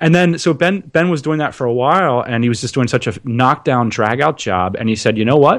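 With an American accent, a man has an ordinary speaking voice at a medium pitch, talking with lively intonation and hardly any pauses. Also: fairly quick pace. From central Pennsylvania, small town. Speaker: entrepreneur, podcaster. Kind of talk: casual interview chat.

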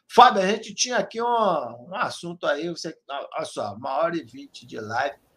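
Animated man with a high pitch, very wide pitch swings and big swings in loudness, at a moderate pace with hardly any pauses. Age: 40s. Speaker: sports radio host. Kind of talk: casual fan talk show.

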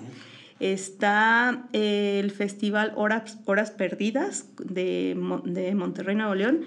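Speaking very slowly in a Mexican accent, a woman uses a medium pitch and ordinary pitch variation. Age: 40s. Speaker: visual artist and teacher. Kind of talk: casual interview.

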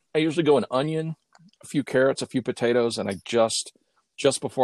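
In a dry, close sound with no echo, a man with an American accent talks at a very fast pace. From Oklahoma. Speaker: history professor. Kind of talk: casual chat. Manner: halting, many repeated words.

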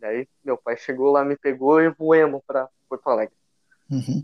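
A man with a fairly high pitch, fairly even intonation and a fairly slow pace, in a dry, close sound with no echo. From southern Brazil, Rio Grande do Sul (São Leopoldo). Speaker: churchgoer sharing his faith story. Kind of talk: faith testimony in casual conversation.

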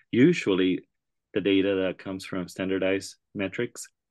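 In a dry, close recording with no echo and a quiet background, a man speaks at a moderate pace with a very deep, low pitch and fairly even intonation. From Puerto Rico. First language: Spanish. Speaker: school district research director, educator. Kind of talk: interview.

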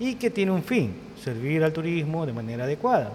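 A man's voice over noticeable background noise. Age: 50s. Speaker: tourism professionals association president. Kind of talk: casual interview.

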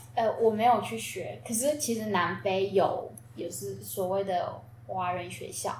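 A woman's medium-pitched voice at a fairly slow pace, with very wide pitch swings and audible room echo. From South Africa. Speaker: Taiwanese-South African student. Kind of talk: casual chat.

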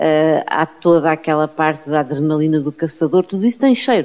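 A woman's dark, mellow voice, very deep and low in pitch, at a moderate pace. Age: 50s. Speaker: university professor, biologist and writer. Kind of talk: interview. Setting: at her home.

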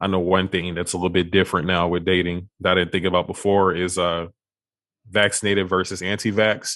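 A man with an American accent talks in a very deep, low pitch. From Texas (Beaumont). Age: 20s. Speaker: podcast host. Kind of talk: casual interview.

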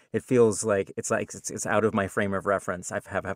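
A man is heard in a dry, close sound with no echo on a very clean recording with a silent background. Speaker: game developer and audiobook narrator. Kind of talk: casual chat.

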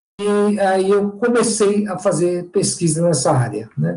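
The man's voice has a dark, mellow tone. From São Paulo city, Brazil. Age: 50s. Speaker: historian and professor. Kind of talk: interview. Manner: halting, repeats words.

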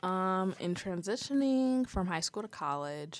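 In a very clean recording with a silent background, a woman with an American accent speaks at a moderate pace. She has a normal speaking voice, a medium pitch and lively intonation. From Ohio, US Midwest (Toledo area). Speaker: college student, student journalist. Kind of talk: casual interview.

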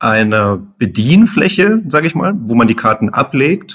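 A man speaks at a very slow pace. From Munich, Bavaria. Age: 30s. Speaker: engineer, startup founder. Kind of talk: podcast interview.

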